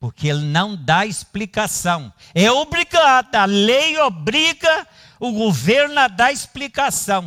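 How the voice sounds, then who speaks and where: A man's high voice is raised and projected, bright and sharp in tone, with very wide pitch swings. He talks at a very slow pace, the sound dry and close with no echo. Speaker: pastor. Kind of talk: sermon.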